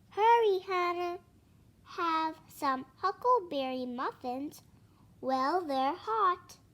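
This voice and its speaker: A squeaky, put-on character voice is raised and projected. It moves at a very slow pace with lively intonation. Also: woman, extremely high pitch for a woman. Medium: read story.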